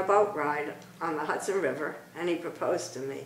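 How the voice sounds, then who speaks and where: With an American accent, a woman speaks at a medium pitch and moderate pace against noticeable background noise. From Brooklyn, New York. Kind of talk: interview answer.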